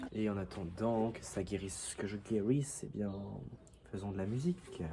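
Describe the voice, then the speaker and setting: Somewhat breathy and dark, mellow in tone, a man with a fairly low pitch speaks at a moderate pace with lively intonation. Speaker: vlogger. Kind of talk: casual vlog.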